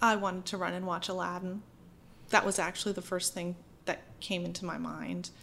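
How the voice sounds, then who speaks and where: A woman's monotone, flat delivery at a fairly quick pace, with a bright, sharp tone and vocal fry. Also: medium pitch for a woman. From Maine, small town near Bangor. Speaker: actress and voice actor. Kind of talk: casual chat.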